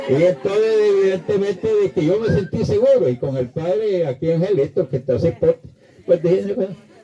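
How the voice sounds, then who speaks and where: Over noticeable background noise, a man speaks fairly quickly with a high pitch and lively intonation. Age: 80s+. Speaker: priest. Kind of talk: homily.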